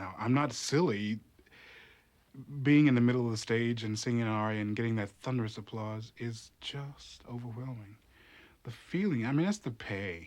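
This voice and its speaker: A man speaks in a plain, everyday voice at medium pitch with an American accent. His pace is moderate and his pitch varies in an ordinary way. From US South, North Carolina. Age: 30s. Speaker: opera chorus singer. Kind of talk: interview testimony.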